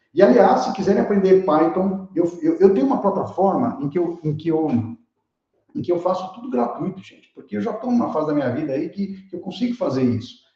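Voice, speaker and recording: Amid audible room echo, a man talks at a fairly quick pace in a high pitch, with very wide pitch swings and big swings in loudness. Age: 60s. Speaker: keynote speaker, tech educator. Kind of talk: online lecture with live chat. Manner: animated, casual; repeats words, stammering restarts.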